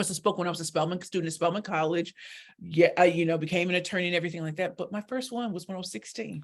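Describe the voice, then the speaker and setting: Very fast speech in an American accent with ordinary pitch variation. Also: woman, fairly low pitch for a woman. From US Midwest, St. Louis, Missouri. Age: 40s. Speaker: professional speaker and pitch coach. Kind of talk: interview on a live internet radio show. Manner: animated.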